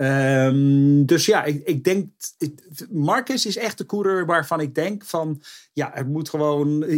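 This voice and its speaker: Very slowly, a man speaks in a fairly high pitch. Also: ordinary pitch variation. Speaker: motorsport pundit. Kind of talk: casual chat. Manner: halting.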